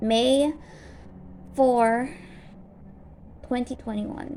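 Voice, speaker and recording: Mumbling at a high pitch, a woman speaks with ordinary pitch variation. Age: 20s. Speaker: vlogger. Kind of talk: personal vlog update. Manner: stutters and mumbles; halting, many fillers.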